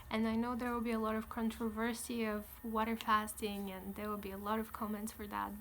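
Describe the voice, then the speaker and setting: Fairly quick and monotone, a woman speaks at a fairly high pitch with flat intonation. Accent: Bulgarian. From Bulgaria. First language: Bulgarian. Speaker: vlogger. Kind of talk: casual vlog.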